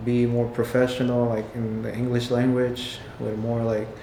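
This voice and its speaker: In a room with audible echo and noticeable background noise, a man of medium pitch talks at a moderate pace in a monotone, flat intonation. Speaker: window tint and paint protection installer and sales rep. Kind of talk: casual interview. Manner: halting, many fillers.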